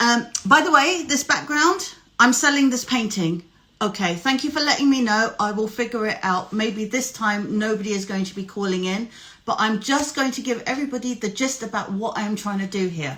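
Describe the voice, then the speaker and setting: This woman has a British accent. Her intonation is lively. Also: fairly high pitch for a woman, moderate pace. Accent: noticeable British. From UK. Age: 40s. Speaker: life coach and live show host. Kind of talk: casual live-stream chat.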